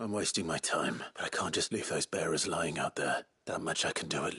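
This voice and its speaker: A raspy, put-on character voice moves at a moderate pace with very even loudness. The sound is dry and close, with no echo. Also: man, fairly low pitch for a man. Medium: video game. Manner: grim, controlled.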